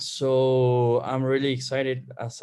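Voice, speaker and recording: A man speaks with a Spanish accent. His pitch sits in the medium range. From Bolivia. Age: 20s. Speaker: student. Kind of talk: casual chat. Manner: halting.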